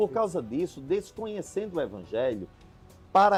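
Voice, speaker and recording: A man's voice with music in the background. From Brazil, Rio Grande do Norte (Seridó, Caicó). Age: 40s. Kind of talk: interview.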